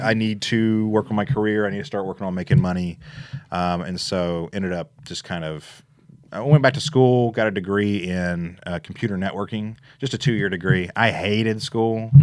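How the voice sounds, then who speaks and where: With a Memphis accent, a man speaks at a fairly low pitch. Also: ordinary pitch variation, moderate pace, quiet background. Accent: Southern US (Memphis). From Memphis, Tennessee. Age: 30s. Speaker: real estate investor. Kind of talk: casual interview.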